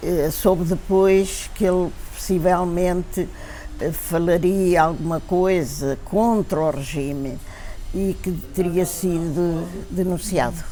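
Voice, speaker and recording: Over noticeable background noise and audible room echo, a woman speaks very slowly in a fairly low pitch with fairly even intonation. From Portugal, Lisbon. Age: 90s. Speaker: elderly witness of dictatorship. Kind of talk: testimony. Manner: halting, with many fillers.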